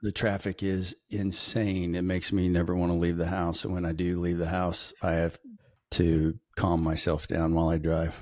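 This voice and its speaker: A man's very deep, low voice with an Arkansas accent, monotone and flat, at very even loudness and a moderate pace, on a very clean recording with a silent background. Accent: US South (Arkansas). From Northwest Arkansas. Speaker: logistics podcast co-host. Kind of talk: casual chat.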